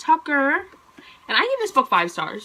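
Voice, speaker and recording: The speaker is a woman. Her tone is animated. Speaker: book vlogger. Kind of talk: casual monthly book review vlog. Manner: fast; animated, chatty.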